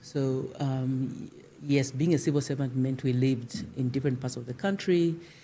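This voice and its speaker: With a Zimbabwean accent, a woman speaks at a moderate pace in a very deep, low pitch and a dark, mellow tone, with ordinary pitch variation. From Zambia (Lusaka from age seven). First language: Shona. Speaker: civil society leader. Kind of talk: interview. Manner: halting.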